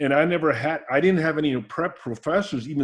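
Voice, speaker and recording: Using vocal fry, a man talks at a fairly quick pace with a fairly high pitch. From Austria, raised in Alameda, California. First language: German. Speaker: coach. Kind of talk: interview. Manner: halting, many restarts.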